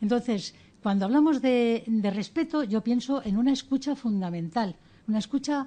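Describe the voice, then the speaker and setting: Against a quiet background, a woman with a fairly high pitch speaks in a dark, mellow, somewhat breathy tone with lively intonation. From Spain, Ceuta and Melilla area. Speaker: educator and author. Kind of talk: radio interview. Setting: studio.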